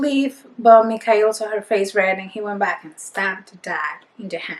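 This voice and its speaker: In a Spanish accent, a woman is talking. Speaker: book reviewer. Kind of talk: casual book review monologue. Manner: animated.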